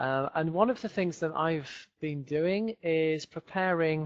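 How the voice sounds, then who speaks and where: A man with a Yorkshire accent speaks at a fairly slow pace in a fairly high voice. The sound is dry and close with no echo, over a quiet background. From northern England, Leeds. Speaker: English teacher. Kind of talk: webinar lecture. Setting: home office, video webinar.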